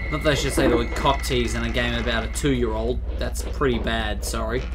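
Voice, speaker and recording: Noticeable background noise sits behind a man talking at a fairly quick pace. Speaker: let's play gamer. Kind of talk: casual gameplay commentary. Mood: jokey, occasionally startled. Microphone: headset.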